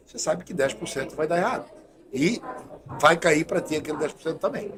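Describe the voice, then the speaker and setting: The speaker has an ordinary speaking voice with ordinary pitch variation and a fairly quick pace. Loudness swings widely from moment to moment. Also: man, fairly high pitch for a man. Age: 60s. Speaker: doctor and health official. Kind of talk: podcast interview. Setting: studio.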